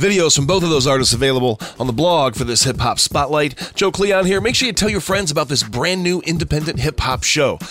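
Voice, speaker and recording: A man's upbeat, energetic voice, fairly high and fairly quick, with lively intonation, very even loudness and hardly any pauses, over noticeable background noise. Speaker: radio host. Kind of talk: scripted radio host patter, promo-style intros and outros. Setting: internet radio studio. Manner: upbeat, energetic, enthusiastic.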